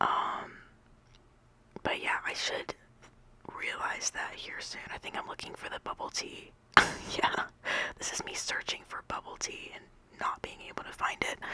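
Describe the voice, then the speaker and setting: Whispering at a fairly slow pace, the speaker leaves long, frequent pauses over noticeable background noise. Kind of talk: casual voice-over ramble about a game build. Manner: whispered, rambling.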